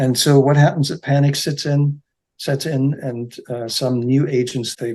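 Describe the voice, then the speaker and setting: A man speaks fairly slowly at a medium pitch, with ordinary variation in his pitch. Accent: German. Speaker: real estate agency founder. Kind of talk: podcast interview. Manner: halting, with repetitions and fillers.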